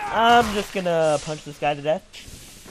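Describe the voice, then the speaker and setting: Noticeable background noise under a man's fairly high-pitched voice, full of very wide pitch swings. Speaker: gaming YouTuber. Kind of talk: casual gameplay commentary. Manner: joking, chatty.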